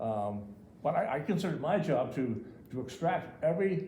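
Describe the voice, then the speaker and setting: A man's somewhat breathy voice, dark and mellow in tone, carries lively intonation over audible room echo. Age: 70s. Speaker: local developer and tradesman. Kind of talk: public comment at town meeting. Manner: halting, many repetitions.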